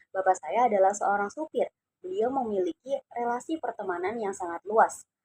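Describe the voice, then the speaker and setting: In a dry, close sound with no echo, a woman with a Javanese accent speaks at a fairly high pitch with very wide pitch swings. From Indonesia, Cirebon (West Java). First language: Javanese (speaking Indonesian). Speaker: university student. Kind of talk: class assignment personal narration.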